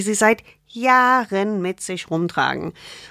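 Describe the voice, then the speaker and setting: A woman's medium-pitched voice. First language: not German (speaking German). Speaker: gynecologist and author. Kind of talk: casual interview. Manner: informal, colloquial.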